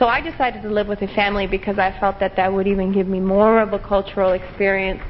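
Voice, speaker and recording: In an American accent, the speaker talks at a fairly quick pace against noticeable background noise. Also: woman. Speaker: English teacher. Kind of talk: interview.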